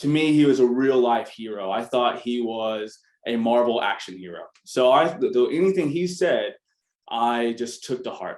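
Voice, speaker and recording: A man with an American accent talks at a medium pitch with ordinary pitch variation. It is an ordinary speaking voice. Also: moderate pace. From US South, Arkansas. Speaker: business founder, MBA alumnus. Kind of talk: panel talk. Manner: casual, many filler words.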